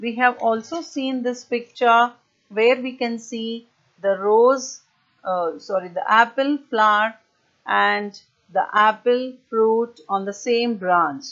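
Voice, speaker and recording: A woman talks at a very slow pace, with a quiet background behind her. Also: ordinary pitch variation. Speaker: primary school teacher. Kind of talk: online lesson for young children. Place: home room. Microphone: earbuds.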